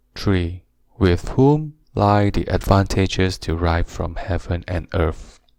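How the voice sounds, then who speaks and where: Soft-spoken and gentle in tone, a man talks very slowly in a very deep, low pitch with ordinary pitch variation, in a very clean recording with a silent background. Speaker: narrator. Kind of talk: relaxing audiobook reading. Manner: gentle, soft-spoken.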